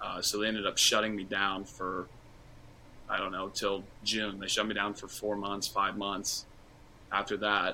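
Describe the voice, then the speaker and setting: With an American accent, a man speaks at a moderate pace in a fairly low, bright, sharp tone, monotone and flat, with long, frequent pauses. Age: 20s. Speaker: former college basketball player. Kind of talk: casual interview.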